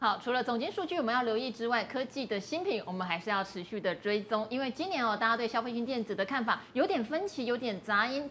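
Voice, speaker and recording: Light background noise sits behind a woman speaking at high pitch and a fairly quick pace, her intonation lively. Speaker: TV finance show host. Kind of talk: casual chat. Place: studio. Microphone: lapel.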